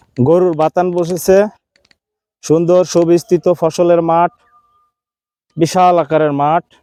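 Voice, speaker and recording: A man speaks in a high pitch with very even loudness, the sound dry and close with no echo. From Bangladesh, Pabna district. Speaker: chef and YouTube vlogger. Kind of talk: vlog narration. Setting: outdoors in fields. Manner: enthusiastic.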